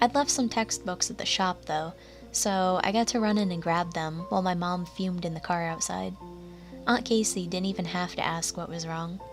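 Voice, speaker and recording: Over music in the background, a woman with a fairly low pitch talks at a moderate pace with ordinary pitch variation. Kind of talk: horror story narration.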